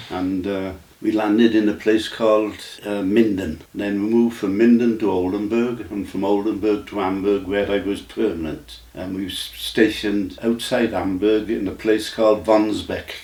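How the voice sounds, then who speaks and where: In an English accent, the speaker keeps a monotone, flat intonation at a moderate pace against noticeable background noise. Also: man, fairly low pitch for a man. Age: 90s. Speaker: army veteran. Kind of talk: interview. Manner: halting.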